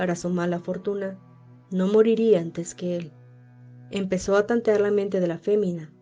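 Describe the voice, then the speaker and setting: Over music in the background, a woman with a medium pitch talks at a moderate pace in a monotone, flat intonation, with long, frequent pauses. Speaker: podcast host and narrator. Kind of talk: horror story reading.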